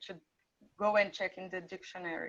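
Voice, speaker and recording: Here a woman is speaking. Her intonation stays fairly even. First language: not English. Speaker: international student. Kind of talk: testimony.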